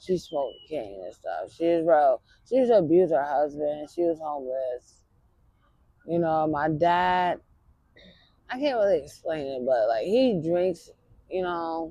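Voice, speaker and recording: Speaking at a fairly slow pace, a woman with a fairly low pitch uses lively intonation. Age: 30s. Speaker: homeless woman interviewed on the street. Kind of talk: street interview, personal life story. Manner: halting, many fillers.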